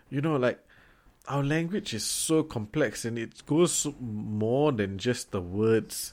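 A man with a medium pitch and lively intonation speaks at a very slow pace in a very clean recording with a silent background. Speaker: podcast co-host. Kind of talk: casual chat.

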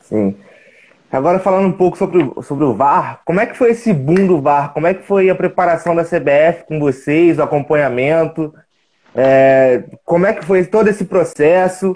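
Speaking at a moderate pace, a man uses a high pitch with ordinary variation. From Minas Gerais, Brazil (Juiz de Fora). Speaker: sports channel interviewer. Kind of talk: interview, casual chat. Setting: video call, live stream.

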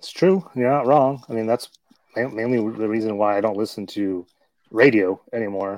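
A normal speaking voice from a man at medium pitch, moderate pace and ordinary pitch variation, with big swings in loudness and a dry, close sound with no echo. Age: 40s. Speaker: podcast host. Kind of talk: casual chat.

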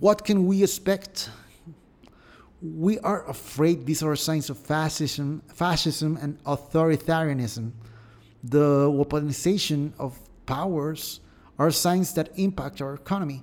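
A man's fairly high voice, fairly slow, with ordinary pitch variation, on a very clean recording with a silent background. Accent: Mexican. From Mexico. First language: Spanish. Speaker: podcast host. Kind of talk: news commentary. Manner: halting, with repetitions.

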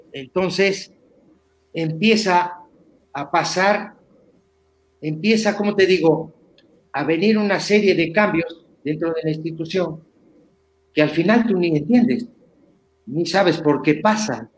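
A man with a Uruguayan accent speaks at a very slow pace, leaving long, frequent pauses. His pitch is high for a man. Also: ordinary pitch variation. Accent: Rioplatense Uruguayan Spanish. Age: 50s. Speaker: former footballer. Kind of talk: interview. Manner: halting, repetitive.

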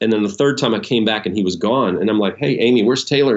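Using an unremarkable speaking voice, a man talks at a medium pitch with ordinary pitch variation. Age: 50s. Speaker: pastor. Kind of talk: interview.

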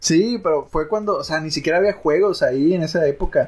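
A man speaks at a moderate pace in a high voice with ordinary pitch variation against a quiet background. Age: 20s. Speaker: university student podcast co-host. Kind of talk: casual chat.

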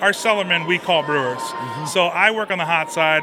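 Crowd noise fills the background as a man speaks. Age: 40s. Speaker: brewer. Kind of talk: interview.

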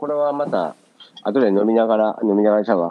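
The speech comes at a very fast pace with lively intonation. It is delivered with a Kansai accent. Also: man. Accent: Kansai dialect Japanese. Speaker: podcast co-host. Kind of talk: casual chat. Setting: remote call from Japan, morning.

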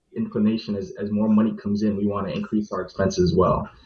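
This man has a fairly low pitch, ordinary pitch variation and an American accent. His voice is somewhat breathy. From New York. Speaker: financial analyst. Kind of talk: panel discussion.

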